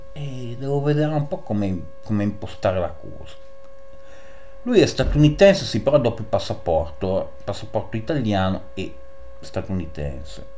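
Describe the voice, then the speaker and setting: Over light background noise, a man speaks at a moderate pace, pausing long and often, with big swings in loudness. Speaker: chess YouTuber. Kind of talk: chess game commentary. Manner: animated. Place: home room. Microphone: voice slightly quieter after mic settings change; webcam.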